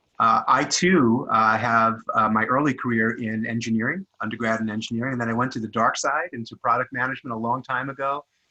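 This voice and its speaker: Here a man speaks at a very fast pace. His pitch varies in an ordinary way. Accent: New York. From New York. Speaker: product management consultant. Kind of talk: panel discussion.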